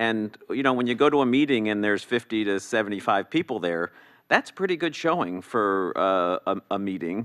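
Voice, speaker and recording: A man with an ordinary speaking voice talks at a fairly low pitch and moderate pace against a quiet background. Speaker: commissioner. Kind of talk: public meeting discussion. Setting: council chamber meeting. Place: hall. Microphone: podium.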